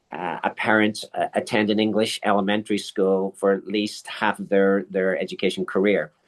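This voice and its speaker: A man speaks with hardly any pauses against a quiet background. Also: moderate pace, dry, close sound with no echo. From Ireland. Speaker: school principal. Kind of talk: interview. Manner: halting, with repetitions.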